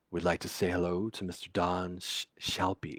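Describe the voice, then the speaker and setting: Putting on a raspy character voice, a man speaks at a very deep, low pitch and a moderate pace with monotone, flat intonation. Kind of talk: smooth broadcaster. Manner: goofy, playful.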